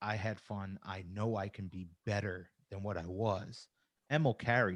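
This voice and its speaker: An animated tone in a very clean recording with a silent background. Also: man. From New York. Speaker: wrestling commentator. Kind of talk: casual chat.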